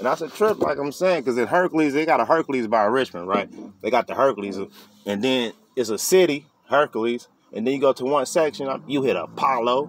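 Over light background noise, a man talks fairly quickly with lively intonation, the sound dry and free of echo. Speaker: vlogger. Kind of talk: casual vlog chat. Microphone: phone near.

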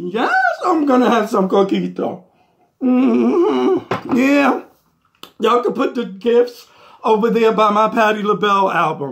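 Drawling at a fairly slow pace, a man puts on a character voice with a high pitch and lively intonation. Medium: comedy sketch. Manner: sassy, drawling, peppered with "mm-hmm" and "honey".

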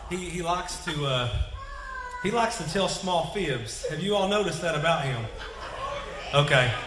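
A man speaks at a fairly slow pace, his pitch fairly high for a man and his intonation lively. The tone is bright and sharp, with audible room echo.

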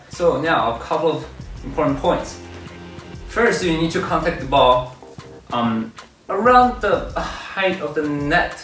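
A man speaks at a fairly slow pace in a space with audible room echo. Faint music plays in the background. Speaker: table tennis coach. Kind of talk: tutorial. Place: gym.

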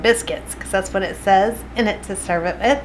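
A woman's voice with ordinary pitch variation, over light background noise. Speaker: home cooking vlogger. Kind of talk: casual vlog chat. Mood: cheerful, smiling. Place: kitchen. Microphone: phone near.

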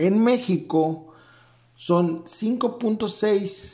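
His tone is dark and mellow. The man's intonation is lively. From Mexico. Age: 30s. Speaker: manga YouTuber and physician. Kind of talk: video commentary. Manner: halting, many fillers.

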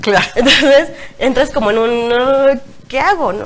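Light noise sits behind a woman as she talks. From Mexico. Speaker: blogger and single mother; talk show guest. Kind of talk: interview. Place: studio.

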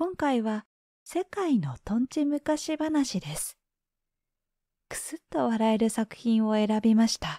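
A woman's fairly high, dark and mellow voice, somewhat breathy and in a relaxed, calm tone, at a fairly slow pace with very wide pitch swings, dry with no echo against a quiet background. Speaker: freelance announcer, former TV network caster. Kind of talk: channel intro, casual address to listener. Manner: slow, relaxed, calm.

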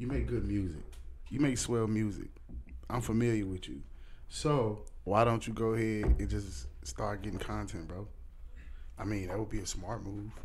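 With light background noise behind him, a man talks at a moderate pace in a fairly low pitch with vocal fry, lively intonation, and long, frequent pauses. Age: 30s. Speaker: podcast host. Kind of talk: casual interview. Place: studio. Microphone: studio mic.

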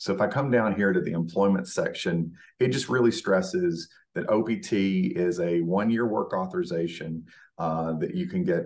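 Against a quiet background, a man with a normal speaking voice talks at a moderate pace, his pitch fairly low with ordinary pitch variation. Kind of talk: presentation walkthrough. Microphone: webcam.

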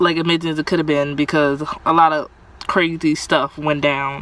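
A woman with a very deep, low voice speaks at a moderate pace, the sound dry with no echo and light background noise. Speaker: vlogger. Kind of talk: casual vlog chat. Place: car. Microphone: phone near.

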